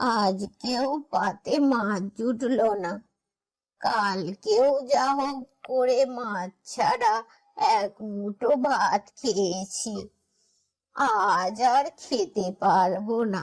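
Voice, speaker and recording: A cartoonish character voice sounds female, pitched fairly high. It moves at a very slow pace. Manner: complaining, talks to herself.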